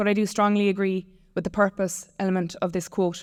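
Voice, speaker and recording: In a Limerick accent, a woman talks at a fairly quick pace and a medium pitch. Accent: Irish (West Limerick). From Ireland, West Limerick. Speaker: tech company founder. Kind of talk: conference talk.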